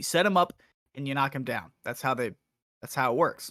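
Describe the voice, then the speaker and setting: A man's fairly high-pitched, bright, sharp voice in a very clean recording with a silent background and a dry, close sound with no echo. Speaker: podcast co-host. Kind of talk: casual chat. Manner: fast.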